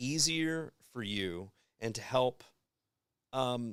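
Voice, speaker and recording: On a very clean recording with a silent background, a man speaks at a medium pitch in a bright, sharp, animated tone with very wide pitch swings. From Kentucky. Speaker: advertising agency guest. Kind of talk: casual podcast chat. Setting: live-streamed podcast.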